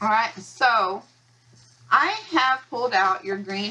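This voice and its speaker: Woman with an American accent at a medium pitch, against noticeable background noise. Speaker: county elections administrator. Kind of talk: training video. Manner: fast; halting, with pauses and stuttering.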